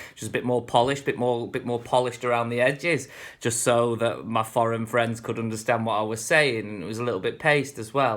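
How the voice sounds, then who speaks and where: Speaking at a fairly quick pace, a man with a northern English accent keeps a relaxed tone and fairly even intonation. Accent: northern English, getting stronger. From northern England. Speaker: vlogger. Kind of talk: casual vlog monologue. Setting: speaking to camera at home. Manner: relaxed, rambling with fillers.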